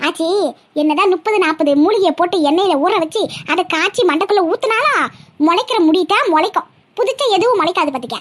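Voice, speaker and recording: A woman performs a cartoonish character voice at an extremely high pitch, in a confident tone. Her intonation is lively, her loudness very even, and her pace moderate. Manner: cheeky, confident.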